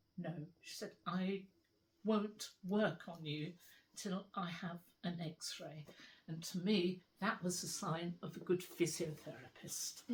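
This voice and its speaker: A somewhat breathy woman with a British accent speaks very slowly at fairly low pitch, with fairly even intonation and big swings in loudness. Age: 80s+. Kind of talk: interview answer. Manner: conversational, hesitant.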